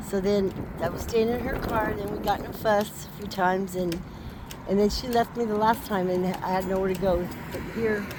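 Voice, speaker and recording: A woman is speaking in a room with audible echo. Noticeable background noise runs under her voice. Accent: American. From California, Barstow area. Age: 60s. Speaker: homeless woman. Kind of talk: street interview.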